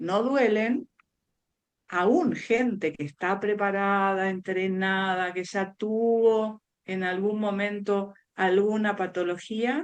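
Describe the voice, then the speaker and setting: A woman's medium-pitched voice, with ordinary pitch variation, moves at a very slow pace. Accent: Buenos Aires. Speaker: speech therapist. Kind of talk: interview.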